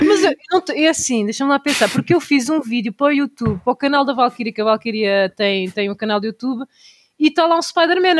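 A woman with a high voice speaks at a very fast pace. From Portugal, Tomar area. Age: 30s. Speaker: instagrammer and cosplayer. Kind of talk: casual chat.

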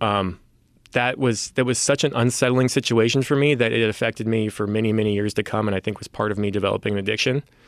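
Recorded very cleanly with a silent background, a man with an American accent talks very fast in a fairly low pitch with fairly even intonation. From San Francisco Bay Area, US. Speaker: guest co-host in addiction recovery. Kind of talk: casual chat.

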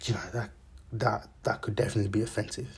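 With vocal fry, a man speaks at a fairly low pitch with ordinary variation. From raised abroad from age two, born in Zambia. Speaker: podcast host. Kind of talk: casual monologue. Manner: halting, many fillers.

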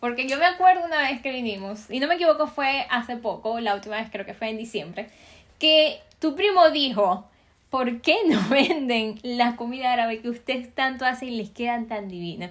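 The intonation is lively. The pace is moderate. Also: woman, high pitch for a woman, big swings in loudness. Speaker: podcast host. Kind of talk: interview.

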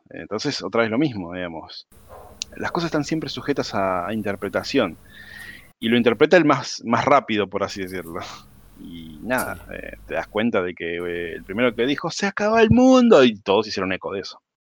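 On a very clean recording with a silent background, a man with an unremarkable speaking voice talks at a fairly quick pace, his medium pitch carried by lively intonation. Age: 40s. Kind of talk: casual chat.

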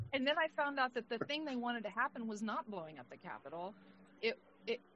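In a plain, everyday voice, a woman with a fairly high pitch speaks with lively intonation. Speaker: podcast co-host. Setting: video call.

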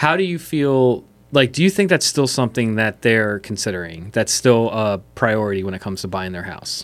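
With an American accent, a man uses an unremarkable speaking voice at medium pitch, talking at a moderate pace with lively intonation. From Pennsylvania, Chester County (West Chester). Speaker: podcast host, real estate. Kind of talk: casual interview.

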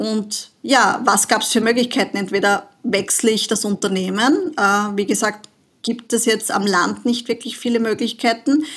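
The voice is somewhat breathy, at a moderate pace. Loudness stays very even, with ordinary pitch variation. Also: woman, fairly high pitch for a woman. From Austria, southern Burgenland. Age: 40s. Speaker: money and business mentor. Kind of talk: casual interview.

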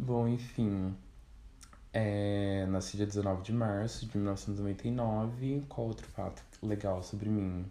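A man's fairly low, dark and mellow voice, with audible room echo. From Brazil, Vale do Paraíba (São Paulo state interior). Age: 20s. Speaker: journalism student podcaster. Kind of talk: solo casual monologue. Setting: at family home. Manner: animated.

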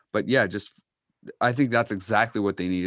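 A normal speaking voice with ordinary pitch variation. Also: man. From Massachusetts (Uxbridge). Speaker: sports podcast co-host. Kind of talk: casual chat. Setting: video call.

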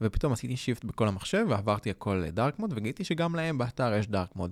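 A man with a plain, everyday voice talks at a fairly quick pace with lively intonation, recorded very cleanly against a silent background with a dry, close sound and no echo. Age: 20s. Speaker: graphic designer podcast co-host. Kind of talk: casual chat. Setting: studio.

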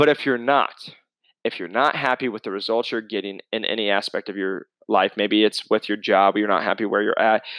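A normal speaking voice from a man, fairly low in pitch and fairly quick, with fairly even intonation, a dry, close sound with no echo and a very clean recording over a silent background. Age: 20s. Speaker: fitness coach and podcast host. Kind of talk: solo casual podcast monologue. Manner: casual, conversational.

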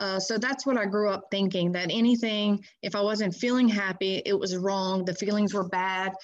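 A woman with a plain, everyday voice and an American accent, fairly even intonation, moderate pace, and hardly any pauses. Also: medium pitch for a woman. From Louisiana, US South (Baton Rouge area). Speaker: recovering addict sharing her experience. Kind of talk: personal recovery testimony in an interview.

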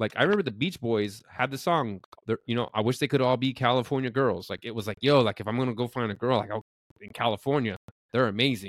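A man with a medium pitch rushes through his words at a very fast pace. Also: ordinary pitch variation. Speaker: podcast co-host. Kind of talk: casual chat.

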